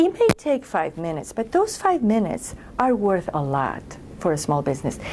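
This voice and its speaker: With a non-native accent, a woman talks at a moderate pace. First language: not English. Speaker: government program director. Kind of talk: interview. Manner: hesitant, with repetitions.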